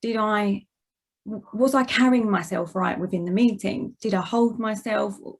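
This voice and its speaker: Somewhat breathy and at a moderate pace, a woman with an Essex accent speaks at a medium pitch with ordinary pitch variation. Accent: Essex accent, noticeable. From Essex, England. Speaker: managing director, guest speaker. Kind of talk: presentation talk.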